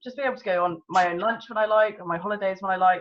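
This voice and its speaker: A woman speaks at a very fast pace in a southern English accent, with a medium pitch. Her tone is enthusiastic. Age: 20s. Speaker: network marketing consultant. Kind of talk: personal testimony. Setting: video call.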